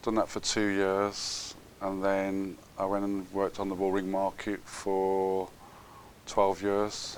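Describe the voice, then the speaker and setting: A man with a Brummie accent speaks at a very slow pace. His pitch is fairly low and his intonation is monotone and flat. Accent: Brummie (Birmingham) English. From Birmingham, England. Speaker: businessman. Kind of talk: interview. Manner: halting.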